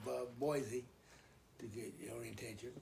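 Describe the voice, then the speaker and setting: Vocal fry runs through very slow speech, with audible room echo around it. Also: man. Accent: American. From Idaho, US. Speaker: elderly father telling life story. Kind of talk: oral history interview. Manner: halting, many fillers and repeats.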